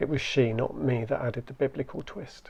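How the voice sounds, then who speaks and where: Here a man speaks in a dark, mellow tone that is somewhat breathy. His intonation stays monotone and flat. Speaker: spoken word poet. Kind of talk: performance poetry reading.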